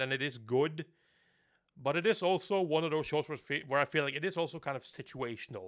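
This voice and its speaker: A man with a Norwegian accent talks at a fairly quick pace and fairly high pitch. The recording is very clean, with a silent background. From Norway. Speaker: anime reviewer. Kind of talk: live stream chat. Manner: casual.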